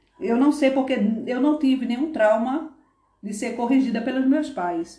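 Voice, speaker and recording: Audible room echo follows a woman's high-pitched voice as she speaks at a moderate pace with ordinary pitch variation. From Northeast Brazil (Paraíba, Pernambuco). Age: 50s. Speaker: former nursing assistant. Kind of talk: interview.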